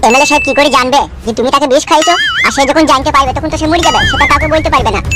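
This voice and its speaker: A cartoonish character voice at a very fast pace over loud background noise. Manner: glib, self-assured.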